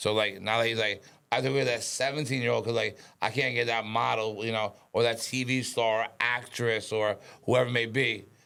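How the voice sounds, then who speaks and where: Bright and sharp in tone, a man with a New York accent speaks in a monotone, flat intonation at very even loudness. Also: medium pitch for a man. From Westchester, New York. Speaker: podcast guest, former stockbroker. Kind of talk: casual chat. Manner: fast; mumbling.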